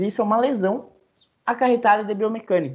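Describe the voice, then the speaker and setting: A man is speaking. The background is quiet. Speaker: veterinarian giving a talk. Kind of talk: lecture. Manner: fast.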